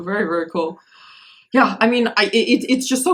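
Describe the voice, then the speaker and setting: A woman with a Russian accent speaks with ordinary pitch variation. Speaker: podcast host. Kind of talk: casual interview chat. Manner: halting, many repetitions.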